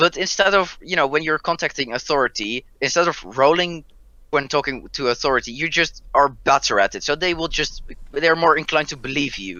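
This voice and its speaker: In a Dutch accent, a man speaks at a fairly quick pace with vocal fry. His pitch is fairly high, with ordinary variation. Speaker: roleplay show player. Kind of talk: casual chat.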